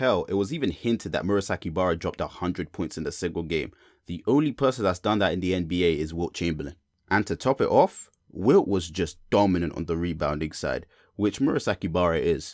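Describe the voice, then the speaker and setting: A man with a British accent talks at a very fast pace in a very deep, low pitch. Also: lively intonation, very clean recording, silent background. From Britain. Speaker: youtuber, sports and anime commentator. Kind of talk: scripted commentary video. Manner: casual.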